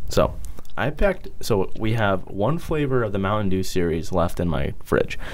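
A man's fairly low voice with lively intonation at a moderate pace, over noticeable background noise. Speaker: podcast co-host. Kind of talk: casual chat.

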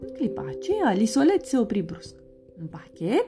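A plain read-aloud passage

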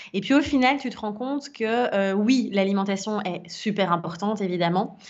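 A woman's unremarkable speaking voice, fairly high in pitch, with ordinary pitch variation and a fairly slow pace. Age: 30s. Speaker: wellness and life coach. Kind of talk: casual interview testimony.

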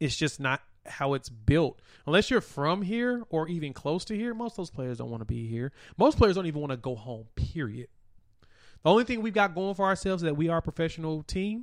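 Over a quiet background, a man talks at a fairly quick pace with a high pitch and very wide pitch swings. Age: 30s. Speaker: sports podcast host. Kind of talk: solo sports talk show. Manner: casual, conversational.

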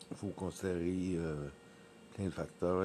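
Slow-paced and fairly even in intonation, a man talks in a very deep, low pitch. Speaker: podcaster, former event worker. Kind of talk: casual monologue. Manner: halting, many hesitations.

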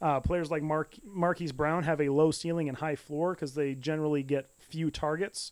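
With a normal speaking voice, a man talks at a fairly quick pace, fairly high in pitch, with fairly even intonation. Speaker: football podcast co-host. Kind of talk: casual chat.

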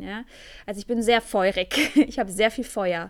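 A woman talks at a moderate pace in a medium-pitched voice with ordinary pitch variation. The recording is very clean, with a silent background. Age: 20s. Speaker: tantra teacher and podcast host. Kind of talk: solo podcast monologue. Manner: hesitant, many fillers.

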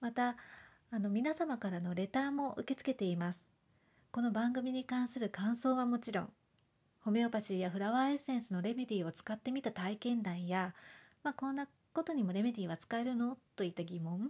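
A woman mumbles at a fairly quick pace. Her fairly high voice has lively intonation. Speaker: homeopath podcaster. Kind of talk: casual monologue podcast. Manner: mumbling, little intonation.

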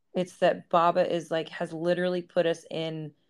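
A woman speaks at a fairly slow pace in a fairly low voice against a quiet background. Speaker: podcast co-host. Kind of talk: casual chat. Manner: laughs often.

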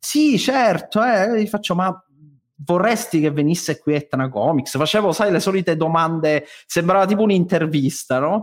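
A man's high-pitched voice with lively intonation, very even loudness and a moderate pace. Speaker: theatre director and stage director. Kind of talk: casual podcast chat.

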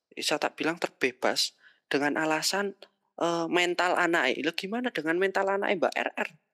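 Her tone bright and sharp, a woman of fairly low pitch speaks at moderate pace with very even loudness and ordinary pitch variation, dry and close with no echo on a very clean recording against a silent background.

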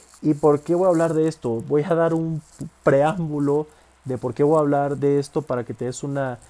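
A man talks in a normal speaking voice with fairly even intonation. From Mexico, Villahermosa, Tabasco. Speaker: podcaster and fitness content creator. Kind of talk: casual monologue.

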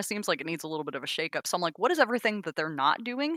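In a very clean recording with a silent background and a dry, close sound with no echo, a woman speaks with lively intonation and a bright, sharp tone. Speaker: tabletop game player. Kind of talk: casual chat. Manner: a little podcast shy.

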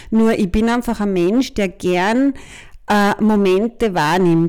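A woman speaks at a fairly slow pace with a dark, mellow tone and a fairly high pitch. Her pitch varies in an ordinary way, and the recording is very clean with a silent background. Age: 50s. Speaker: podcast co-host, business consultant. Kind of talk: casual chat.

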